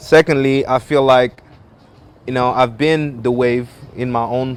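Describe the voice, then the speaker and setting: At a fairly slow pace, a man with a French accent speaks in a flat monotone at a medium pitch. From French-speaking Africa. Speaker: musician. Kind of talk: interview.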